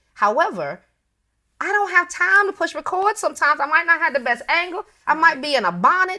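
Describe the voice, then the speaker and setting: Extremely high-pitched for a woman, her raised, projected voice in an American accent has a bright, sharp tone, lively intonation and a fairly quick pace. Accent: Bronx accent with occasional Southern twang. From US Northeast, the Bronx, New York. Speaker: personal chef. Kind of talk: casual interview chat. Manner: informal, not prim and proper.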